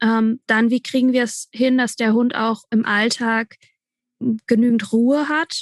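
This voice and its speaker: A woman's monotone, flat delivery in a dry, close sound with no echo, over a quiet background. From Franconia, Germany. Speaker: dog trainer. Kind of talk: casual interview chat.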